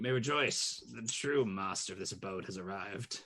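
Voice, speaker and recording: In a put-on character voice, a man speaks raspy and fairly low in pitch. His intonation is lively and his pace moderate. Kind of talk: formal, lofty. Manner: pompous, grand, proclaiming.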